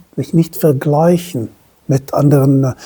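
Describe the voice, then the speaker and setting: Speaking with a non-native accent, a woman sounds somewhat breathy. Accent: foreign accent in German. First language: not German (speaking German). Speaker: self-employed entrepreneur, commentator. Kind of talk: opinion monologue to camera. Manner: halting, self-correcting.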